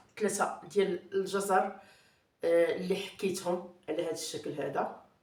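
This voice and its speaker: A woman's medium-pitched voice at a very slow pace, with audible room echo. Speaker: cooking channel host. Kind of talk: cooking tutorial. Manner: hesitant with fillers.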